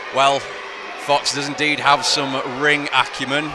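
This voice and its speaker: A man with a fairly high voice speaks over noticeable background noise. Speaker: wrestling commentator. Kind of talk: live sports commentary, play-by-play of a wrestling match. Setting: arena with live crowd, commentary desk.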